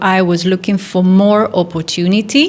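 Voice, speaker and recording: A woman with an Italian accent speaks at a moderate pace. Her voice is fairly low, with monotone, flat intonation. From northern Italy, near Milan. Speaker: golf teacher and physiotherapist. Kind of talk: interview.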